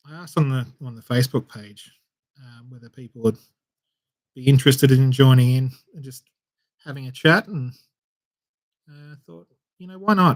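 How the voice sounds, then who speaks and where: A man's somewhat breathy voice at medium pitch and a moderate pace, with ordinary pitch variation, long, frequent pauses and big swings in loudness. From Australia, Melbourne. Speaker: miniature painting streamer. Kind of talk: casual chat. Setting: live stream. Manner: relaxed, lots of fillers.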